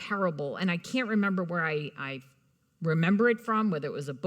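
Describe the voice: Someone reads aloud. The reading is plain.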